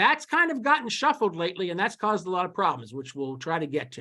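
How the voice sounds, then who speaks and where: A man's bright, sharp voice at a fairly quick pace, with lively intonation. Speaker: webinar presenter on dairy law. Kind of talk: lecture. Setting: webinar. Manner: halting.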